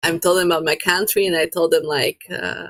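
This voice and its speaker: A woman with a Slovak accent speaks at a fairly low pitch. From Slovakia. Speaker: photographer. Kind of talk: casual chat. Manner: halting, with frequent repetitions and fillers.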